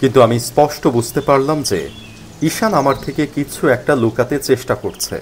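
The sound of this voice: A man at a moderate pace, with a medium-pitched voice. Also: ordinary pitch variation.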